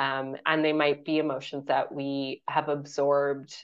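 A woman speaks with a Canadian accent. Her voice is very deep and low. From Canada. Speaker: author and period educator. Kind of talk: interview.

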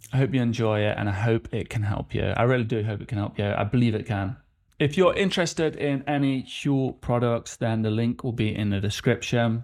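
In a very clean recording with a silent background, a man talks at a fairly quick pace in a normal speaking voice, with medium pitch and ordinary pitch variation. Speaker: podcast host. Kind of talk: casual interview conversation.

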